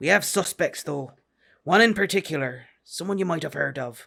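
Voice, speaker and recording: A man puts on a gruff, raspy character voice with a high pitch. He speaks at a moderate pace in a very clean recording with a silent background. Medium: read story. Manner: blunt, gruff, terse.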